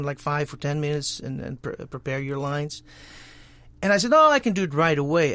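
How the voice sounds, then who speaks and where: A man talks at a very fast pace with a Dutch accent. His pitch is fairly high. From Netherlands. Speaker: voice actor. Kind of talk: interview answer.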